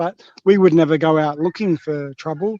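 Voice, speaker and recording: With an Australian accent, a man speaks in a high voice, the sound dry and close with no echo against a quiet background. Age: 50s. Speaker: livestream guest. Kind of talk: casual chat.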